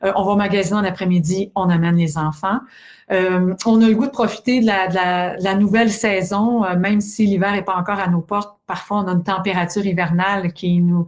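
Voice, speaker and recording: The speaker has a Quebec accent and a fairly quick pace. Intonation is fairly even and loudness very even. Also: woman, medium pitch for a woman. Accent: Québécois French. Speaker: sleep education expert, podcast host. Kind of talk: casual podcast chat.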